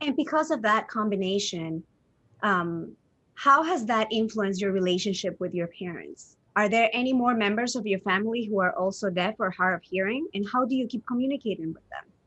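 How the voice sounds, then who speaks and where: A woman with a Spanish accent talks fairly quickly at a fairly high pitch with lively intonation over a quiet background. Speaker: interviewer. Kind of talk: interview.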